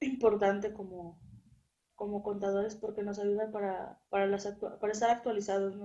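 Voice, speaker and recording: A woman talks at a moderate pace and medium pitch, in an ordinary speaking voice. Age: 20s. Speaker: accounting student. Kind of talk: interview.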